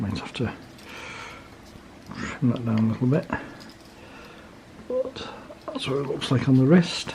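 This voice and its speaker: A man's medium-pitched voice, fairly slow with long, frequent pauses and ordinary pitch variation, over noticeable background noise. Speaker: watch reviewer. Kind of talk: casual talk to camera.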